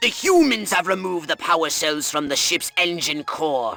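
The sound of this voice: Putting on a character voice, a man speaks at a moderate pace and a fairly high pitch, his tone bright and sharp with vocal fry and lively intonation, while faint music plays in the background.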